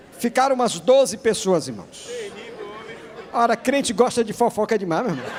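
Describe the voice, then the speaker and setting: A high-pitched man at a moderate pace, ordinary pitch variation, big swings in loudness, long, frequent pauses and noticeable background noise. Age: 60s. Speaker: pastor. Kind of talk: sermon.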